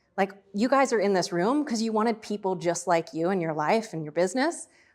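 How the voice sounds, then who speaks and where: A woman at medium pitch, talking at a very fast pace with an energetic tone and ordinary pitch variation. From Australia. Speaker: business founder and speaker. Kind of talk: workshop talk. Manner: energetic, casual.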